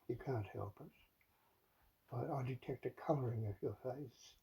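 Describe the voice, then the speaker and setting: A man's somewhat breathy, dark and mellow voice at medium pitch, with ordinary pitch variation. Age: old. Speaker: father confronting his adult child. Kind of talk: heated one-sided confrontation. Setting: in the listener's bedroom. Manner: halting, with many stammered repetitions.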